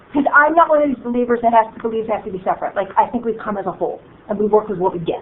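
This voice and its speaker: A woman's high-pitched, animated voice at a very fast pace, with an American accent, over noticeable background noise. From New York area / New Jersey. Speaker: business coach and facilitator. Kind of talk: workshop presentation.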